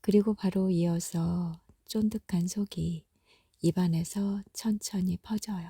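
At a very slow pace, the voice carries a gentle, soothing tone in a very clean recording with a silent background. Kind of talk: reading aloud; ASMR bedtime narration, comforting. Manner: slow, soft-spoken, soothing; gentle, intimate, warmly reassuring.

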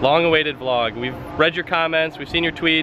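Against noticeable background noise, a man's voice sounds dry with no echo, its pitch varying in an ordinary way. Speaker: police department staff vlogger. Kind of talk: casual vlog chat. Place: street. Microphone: phone near.

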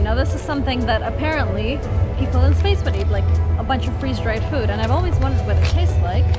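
A woman speaks with music in the background. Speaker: travel vlogger. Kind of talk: casual vlog chat. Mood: cheerful, amused. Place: street.

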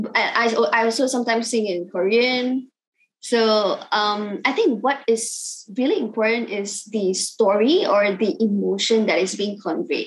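A woman's fairly high voice in a Cantonese accent, fairly slow, with ordinary pitch variation and a quiet background. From Malaysia. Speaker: singer-songwriter; guest. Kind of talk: casual interview. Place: home room. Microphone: video call.

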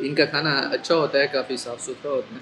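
This is a man talking. Noticeable noise sits behind him. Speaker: food vlogger. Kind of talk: casual vlog chat, restaurant review. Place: cafe. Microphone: camera far.

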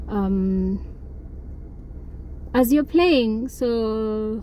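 A woman speaks with ordinary pitch variation over light background noise. The sound is dry, with no echo. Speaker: vlogger. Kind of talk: casual vlog chat. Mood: relaxed, content. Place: car. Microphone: phone near.

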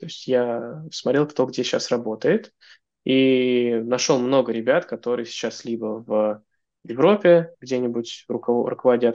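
Quiet background behind a man speaking with ordinary pitch variation. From Russia, Moscow; Russia. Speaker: software engineer; podcast guest. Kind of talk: interview conversation. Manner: hesitant, many filler sounds. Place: home room. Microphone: video call.

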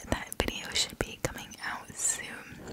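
A soft-spoken woman talks at a fairly slow pace. Loud background noise fills the clip. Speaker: small channel vlogger. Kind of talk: casual vlog chat. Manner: soft close-mic ASMR murmur. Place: home room. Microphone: studio mic.

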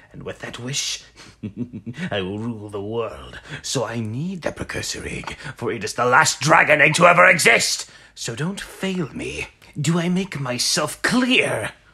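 Pitch swings are very wide and loudness swings are big. The pace is moderate. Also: man, fairly high pitch for a man. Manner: grandiose, commanding.

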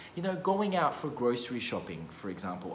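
Light background noise can be heard. The room echo is audible too. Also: man. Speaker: economics educator. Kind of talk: casual explainer vlog. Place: meeting room. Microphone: phone near.

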